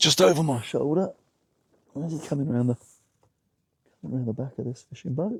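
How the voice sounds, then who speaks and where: In a southern English accent, a man with a fairly high pitch speaks at a fairly quick pace and with lively intonation, somewhat breathy and with long, frequent pauses, in a dry, close sound with no echo. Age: 60s. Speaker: vlogger sailing a small boat. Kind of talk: casual vlog narration. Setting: outdoors on a boat. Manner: hesitant, many fillers.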